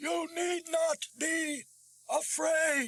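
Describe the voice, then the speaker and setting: Putting on a character voice, a man speaks at an extremely high pitch with a guttural sound. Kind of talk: audiobook horror reading. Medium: read story. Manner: halting, with curious pauses.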